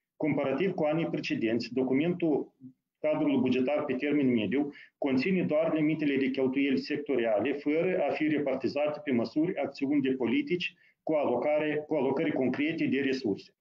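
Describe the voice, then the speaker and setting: This is a man with a normal speaking voice, pitched fairly high, with ordinary pitch variation. He talks at a fairly quick pace with very even loudness. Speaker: deputy prime minister, finance. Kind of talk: formal briefing. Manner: formal.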